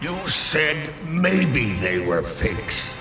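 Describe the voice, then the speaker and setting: A man's cartoonish character voice, fairly high in pitch with very wide pitch swings, a slight echo and clear background noise. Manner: cold, sardonic.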